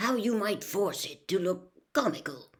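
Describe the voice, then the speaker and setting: In a raspy, put-on character voice of medium pitch, a woman talks at a moderate pace. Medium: read story. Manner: warm, encouraging.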